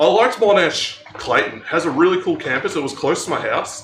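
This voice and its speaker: In a strong Melbourne accent, a man speaks amid noticeable background noise and audible room echo. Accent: strong Australian (Melbourne). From Australia, Melbourne eastern suburbs. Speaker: streamer. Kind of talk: casual chat. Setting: live stream on a treadmill.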